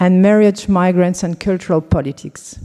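This is a woman speaking. She has a French accent. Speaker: anthropology professor. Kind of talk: conference introduction.

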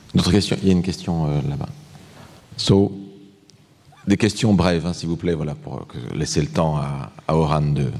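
A man with a very deep, low pitch talks at a moderate pace, with ordinary pitch variation. Long, frequent pauses break it up over noticeable background noise. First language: French. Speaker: professor. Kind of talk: Q&A moderation.

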